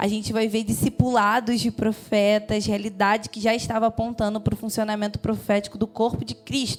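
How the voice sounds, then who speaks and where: Music plays in the background. A woman with a medium pitch speaks at a moderate pace. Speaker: preacher. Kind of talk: sermon.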